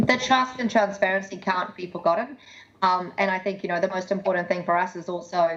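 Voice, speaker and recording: Woman's medium-pitched voice, fairly quick and fairly even in intonation, against noticeable background noise. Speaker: tech industry speaker. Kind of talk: presentation. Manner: fast.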